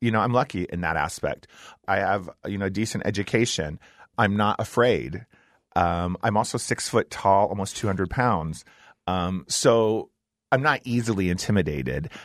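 An unremarkable speaking voice belongs to a man with an American accent and fairly low pitch, speaking at a moderate pace with ordinary pitch variation. The sound is dry and close with no echo, against a quiet background. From US Midwest, Ohio. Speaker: drag performer. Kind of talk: interview. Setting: studio.

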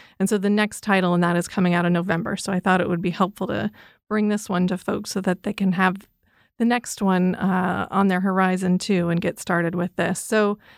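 A woman with a normal speaking voice talks at a moderate pace and medium pitch, with fairly even intonation, on a very clean recording with a silent background. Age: 40s. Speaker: librarian. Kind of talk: book recommendations chat.

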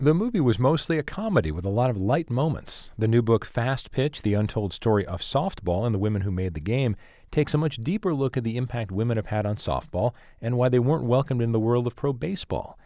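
Against a quiet background, a man talks very fast at a medium pitch, with lively intonation and a dark, mellow tone. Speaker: radio host. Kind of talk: radio interview.

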